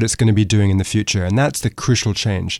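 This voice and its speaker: A man with an American accent. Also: very clean recording, silent background. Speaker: author and economics fellow. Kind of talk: interview.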